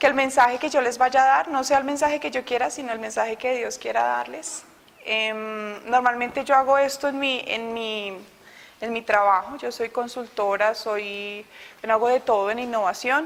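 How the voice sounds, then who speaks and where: With a Bogotá accent, a woman speaks at a high pitch. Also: ordinary pitch variation, moderate pace. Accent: Bogotá accent, still kept. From Colombia, Bogotá. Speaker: innovation consultant giving a faith testimony. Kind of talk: testimony.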